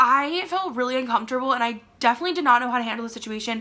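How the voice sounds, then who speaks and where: A woman with an American accent uses a raised, projected voice. Her high-pitched delivery sounds animated. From Maryland, USA. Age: young. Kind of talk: casual storytime talk to camera. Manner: chatty, animated.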